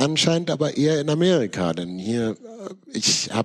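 The man's intonation is lively.

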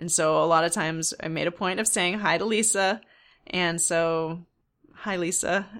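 At a moderate pace, a woman with an ordinary speaking voice talks at a fairly low pitch in a very clean recording with a silent background. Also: fairly even intonation. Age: 40s. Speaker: knitting podcast host. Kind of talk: casual solo podcast monologue.

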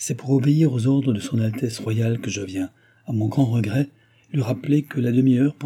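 A natural voice reading aloud.

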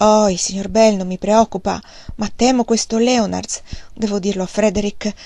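Unforced reading voice, intonation fairly even throughout

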